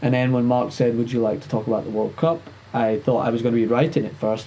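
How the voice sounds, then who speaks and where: This man has a Scottish accent and a medium pitch, speaking at a fairly quick pace. Noticeable background noise runs underneath. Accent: Scottish, somewhat toned down. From Scotland. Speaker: sports and entertainment show host. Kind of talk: casual interview chat. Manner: fast, talkative.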